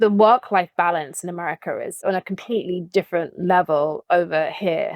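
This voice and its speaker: A woman of medium pitch talks at a fairly quick pace with hardly any pauses, in a dry, close sound with no echo. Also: fairly even intonation. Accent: British. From England, London. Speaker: branding agent and talent manager. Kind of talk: podcast interview. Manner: casual, with fillers.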